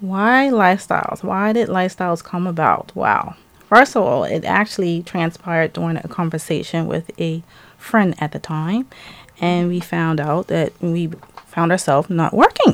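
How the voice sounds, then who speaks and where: A woman with a fairly low pitch talks in an ordinary speaking voice, keeping a moderate pace and ordinary pitch variation. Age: 50s. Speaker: small business owner. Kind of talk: interview. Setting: studio.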